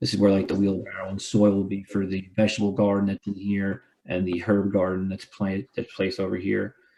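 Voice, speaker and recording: A man with a dark, mellow tone talks at a fairly quick pace with hardly any pauses, his intonation monotone and flat. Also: fairly low pitch for a man. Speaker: architect presenting plans. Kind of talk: project presentation. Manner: fast.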